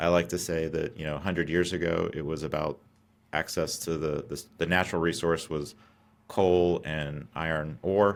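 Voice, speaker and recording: An American accent at a moderate pace with fairly even intonation, in a very clean recording with a silent background. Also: man, very deep, low pitch for a man. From US South, Atlanta. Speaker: company founder and CEO. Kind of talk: podcast interview.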